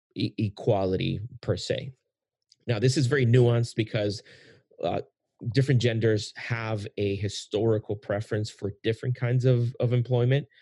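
A man's medium-pitched voice, fairly slow and fairly even in intonation, somewhat breathy, in a dry, close sound with no echo on a very clean recording with a silent background. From Puerto Rico. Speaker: podcast host. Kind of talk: casual interview conversation.

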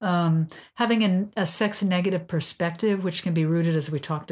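In a very clean recording with a silent background, a woman with a normal speaking voice talks at a moderate pace with fairly even intonation. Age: 60s. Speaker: sex and couples therapist, podcast host. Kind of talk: casual educational chat.

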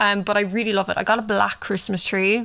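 A woman with an Irish accent speaks at a fairly quick pace. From Ireland. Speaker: true crime podcaster. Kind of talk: casual monologue and case narration. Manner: casual with frequent fillers.

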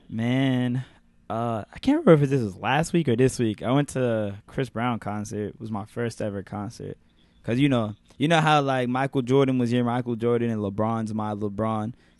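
A man with a New York accent speaks at a moderate pace in a medium pitch over a quiet background. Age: 20s. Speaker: podcast host. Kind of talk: casual chat. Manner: animated.

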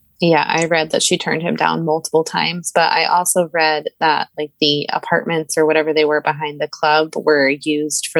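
A woman's very deep, low voice at a moderate pace, with a dry, close sound and no echo. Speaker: guest co-host, true crime fan. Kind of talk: casual chat. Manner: upbeat, enthusiastic; same tone regardless of topic.

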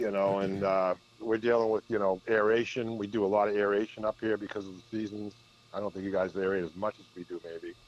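A man speaks fairly quickly with a Boston accent. His intonation is flat and monotone. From Massachusetts, north of Boston (Peabody). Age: 50s. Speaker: golf professional. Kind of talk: casual chat. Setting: phone call.

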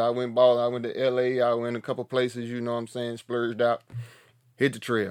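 A man talks at a fairly quick pace with an Appalachian accent and a medium pitch. His voice sounds dry and close with no echo, against a quiet background. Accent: Southern US (Appalachian North Carolina). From US South, mountains of North Carolina. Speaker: podcast host, hiker. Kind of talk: casual monologue. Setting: tiny house, home recording. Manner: animated.

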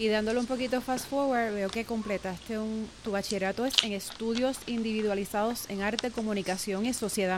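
Someone speaks at a fairly quick pace with music playing in the background. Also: woman. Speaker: podcast host. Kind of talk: interview.

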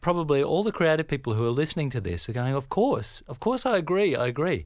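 In a very clean recording with a silent background, a man with an Australian accent talks at a fairly quick pace, his fairly high voice lively in intonation. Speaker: creative agency founder, co-interviewer. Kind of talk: podcast interview.

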